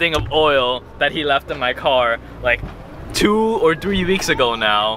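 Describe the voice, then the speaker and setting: Over noticeable background noise, a man speaks at a fairly slow pace with lively intonation. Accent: American. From New Jersey. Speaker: car vlogger. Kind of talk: casual vlog while driving. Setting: in a car.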